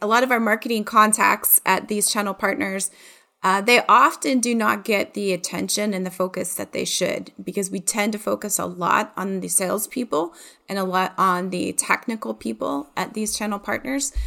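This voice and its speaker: A woman with an American accent talks at a moderate pace and medium pitch, her bright, sharp tone carrying vocal fry and ordinary pitch variation. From Ohio, US Midwest. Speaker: marketing director and podcast host. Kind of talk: casual interview chat.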